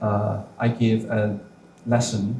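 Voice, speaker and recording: A man speaks at a medium pitch with a Chinese accent and flat, monotone intonation. The room echo is audible. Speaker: professor. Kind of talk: panel response. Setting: bookstore lecture with audience. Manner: halting, many fillers.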